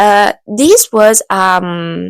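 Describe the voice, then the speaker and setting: Speaking at a very slow pace, a woman uses a medium pitch in a dry, close sound with no echo. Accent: Italian. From Italy. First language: Italian. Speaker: book vlogger. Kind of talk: casual book haul talk to camera. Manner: hesitant, many fillers.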